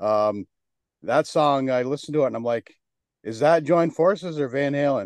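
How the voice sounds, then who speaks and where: Fairly high-pitched male speech at a moderate pace, an ordinary speaking voice with ordinary pitch variation, dry and close with no echo, against a quiet background. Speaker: podcast host. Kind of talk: casual interview chat.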